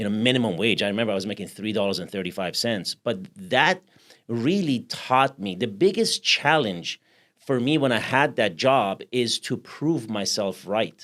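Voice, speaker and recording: On a very clean recording with a silent background, a man with a Persian accent speaks at a moderate pace and medium pitch, his intonation lively. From Iran. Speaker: podcast host. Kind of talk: interview conversation.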